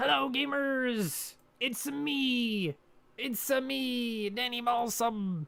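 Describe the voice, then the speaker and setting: In a put-on character voice that sounds female, she speaks very slowly at a high pitch. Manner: goofy, exaggerated.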